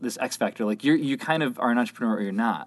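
A man's voice rises and falls in very wide pitch swings. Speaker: podcast host. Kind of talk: casual interview conversation. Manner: excitable, slightly halting with filler words.

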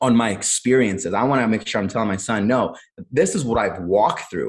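Using a plain, everyday voice, a man with an American accent talks at a medium pitch and a fairly quick pace. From US Midwest, Cleveland, Ohio. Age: 30s. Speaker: entrepreneur and Marine veteran. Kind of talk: interview conversation.

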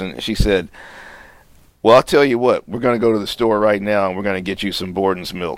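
This man has an unremarkable speaking voice with an American accent. His pitch sits fairly low and varies in an ordinary way. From Houston, Texas. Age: 50s. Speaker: clinical psychologist. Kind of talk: interview testimony.

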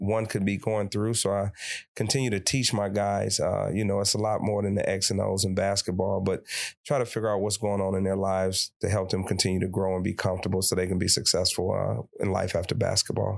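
A man with an American accent and a normal speaking voice talks at a fairly quick pace in a fairly low pitch. His intonation is fairly even, his loudness very even, and the recording very clean with a silent background. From Detroit, Michigan. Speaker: college basketball coach. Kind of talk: interview.

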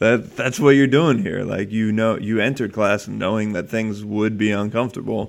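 An unremarkable speaking voice: a man at medium pitch, moderate pace and ordinary pitch variation. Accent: American. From New Jersey. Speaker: fitness coach and podcast co-host. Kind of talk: casual chat.

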